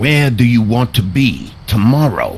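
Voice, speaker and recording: In a put-on character voice, a man growls at a medium pitch over clear background noise. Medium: video game. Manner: curt, interrogating.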